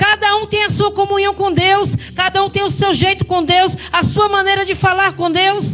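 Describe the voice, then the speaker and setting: The speaker has a northeastern Brazilian accent. Background noise is noticeable. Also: woman. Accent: Brazilian northeastern accent, renewed. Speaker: preacher. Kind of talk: sermon.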